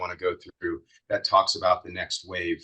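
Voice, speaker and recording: Here a man talks at a fairly quick pace. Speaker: author and tech executive giving a webinar presentation. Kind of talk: webinar Q&A. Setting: video call webinar. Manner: monotone.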